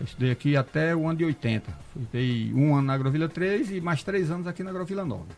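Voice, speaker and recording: A man with a fairly high pitch speaks at a very fast pace with ordinary pitch variation. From Brazilian Northeast. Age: 60s. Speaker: cordel poet. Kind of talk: casual chat.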